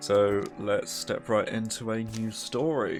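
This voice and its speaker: A man's voice over music in the background. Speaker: let's play gamer. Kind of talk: casual gameplay commentary.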